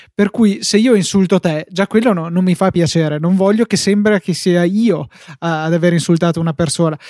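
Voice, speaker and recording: At a moderate pace, a man with a high pitch and a dark, mellow tone talks at very even loudness, the sound dry and close with no echo. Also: ordinary pitch variation, very clean recording, silent background. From northern Italy, Verona. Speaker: tech podcast host. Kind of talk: casual chat.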